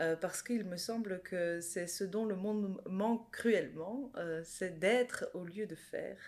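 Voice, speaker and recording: The speaker is a woman with a medium pitch. She talks at a very slow pace. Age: 40s. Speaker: life coach and former nurse. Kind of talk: interview conversation.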